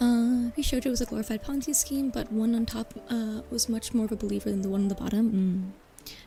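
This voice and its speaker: Over music in the background, a woman talks in a relaxed tone at a fairly high pitch with ordinary pitch variation. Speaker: vtuber streamer. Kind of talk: casual chat with livestream audience. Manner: relaxed, conversational, hesitant with filler words.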